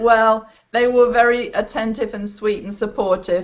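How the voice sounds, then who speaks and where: An English accent at a moderate pace. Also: woman. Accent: English-sounding. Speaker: performing arts teacher. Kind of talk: panel discussion on video call. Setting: video call.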